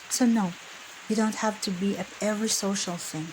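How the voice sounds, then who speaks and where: There is noticeable background noise. A woman talks at a medium pitch with fairly even intonation. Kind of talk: whispered ASMR emotional-support talk. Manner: whispered, soft-spoken, gentle, calming.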